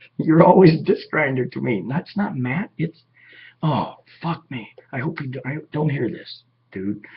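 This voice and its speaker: With an American accent and vocal fry, a man speaks at a fairly slow pace using lively intonation. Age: 50s. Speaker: vlogger. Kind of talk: casual monologue. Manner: animated.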